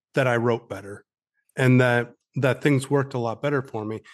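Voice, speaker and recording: A man with an American accent talks at a moderate pace in an unremarkable speaking voice, medium in pitch, over a quiet background. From upstate New York. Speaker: author and army veteran. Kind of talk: interview.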